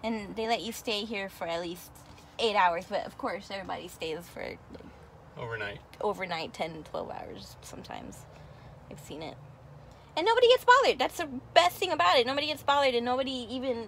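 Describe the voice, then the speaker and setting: A woman talks at a fairly quick pace with big swings in loudness over light background noise. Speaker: RV traveler vlogger. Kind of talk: casual vlog chat. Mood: relaxed, cheerful. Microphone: phone near.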